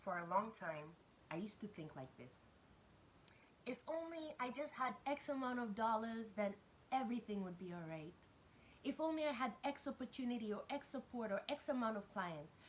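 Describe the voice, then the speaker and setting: Female voice, fairly high, swinging very widely in pitch. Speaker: business coach for entrepreneurs. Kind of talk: motivational talk to camera. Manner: fast.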